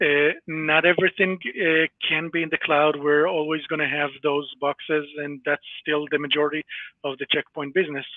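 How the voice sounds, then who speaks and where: Speaking with an Israeli accent, a man uses a fairly high pitch and monotone, flat intonation at a moderate pace. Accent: Hebrew (Israeli). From Israel (born in Latvia). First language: Hebrew. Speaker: cybersecurity company employee. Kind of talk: interview. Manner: hesitant, many fillers.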